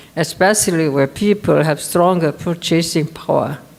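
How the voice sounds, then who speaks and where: Noticeable background noise surrounds the voice. It moves at a moderate pace with ordinary pitch variation. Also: woman. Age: 80s+. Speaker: business owner. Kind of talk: conference speech.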